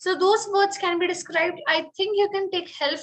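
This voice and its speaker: A woman's bright, sharp tone comes through with an Indian accent. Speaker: French teacher. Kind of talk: online webinar instruction.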